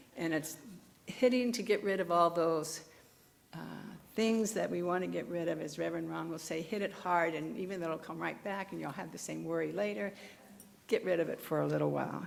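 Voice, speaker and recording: A woman at a fairly quick pace with audible room echo. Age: old. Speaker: minister's assistant giving a dharma talk. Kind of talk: dharma talk. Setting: temple service with congregation. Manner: conversational, some halting restarts.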